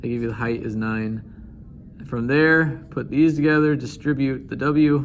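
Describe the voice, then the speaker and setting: A man with a fairly high pitch and fairly even intonation speaks at a fairly slow pace amid audible room echo. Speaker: math teacher. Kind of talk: tutorial.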